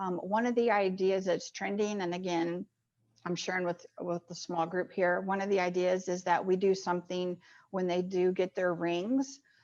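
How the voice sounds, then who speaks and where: The speaker has an American accent. Their intonation stays fairly even. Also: woman, medium pitch for a woman. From Kansas City, Missouri, US Midwest. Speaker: sports commission executive. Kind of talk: presentation and Q&A. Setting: video call. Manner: fast.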